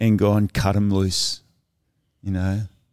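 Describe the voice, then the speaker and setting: In a very clean recording against a silent background, a man with an Australian accent talks at a moderate pace in a dark, mellow tone and a fairly low pitch. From Cornwall, England, raised in Sydney from childhood. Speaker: surf ministry leader. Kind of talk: casual interview. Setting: studio video podcast.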